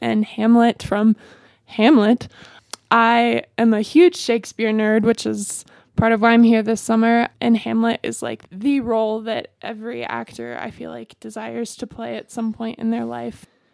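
In an American accent, a woman with a normal speaking voice and a fairly high pitch talks at a fairly slow pace with fairly even intonation, the sound dry and close with no echo. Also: big swings in loudness. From US South, Greenville, South Carolina. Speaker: college theater actor and dancer. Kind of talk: radio interview.

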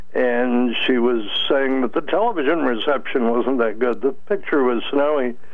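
Speaking at a medium pitch with ordinary pitch variation, a man uses an ordinary speaking voice. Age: 60s. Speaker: caller. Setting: phone call.

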